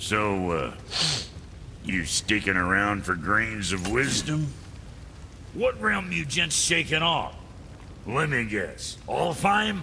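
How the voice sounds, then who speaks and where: A man uses a put-on character voice at a fairly low pitch, speaking at a very slow pace with long, frequent pauses. Clear background noise is present. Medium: video game. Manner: rambling, crude, hesitant.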